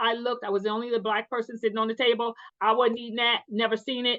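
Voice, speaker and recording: The speaker talks at a very fast pace. The tone is animated. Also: woman. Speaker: wellness vlogger. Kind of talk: casual motivational talk. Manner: loud.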